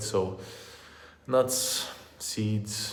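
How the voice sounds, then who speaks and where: Fairly low-pitched male voice with fairly even intonation, audible room echo and noticeable background noise. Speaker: vegan fitness youtuber. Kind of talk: live stream Q and A. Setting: hotel room live stream. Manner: halting, stuttering. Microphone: echoey room.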